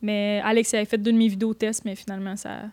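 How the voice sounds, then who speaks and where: A woman with a Quebec accent talks at a moderate pace in a fairly high voice. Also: very clean recording, silent background. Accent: Québécois French. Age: 20s. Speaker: photographer and YouTuber. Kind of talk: casual chat.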